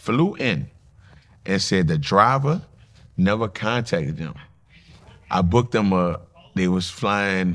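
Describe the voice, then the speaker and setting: Speaking with a New Orleans accent, a man uses a fairly low pitch and lively intonation at a very slow pace, with long, frequent pauses. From New Orleans, Louisiana. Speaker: nightlife promoter and entrepreneur. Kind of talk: casual interview.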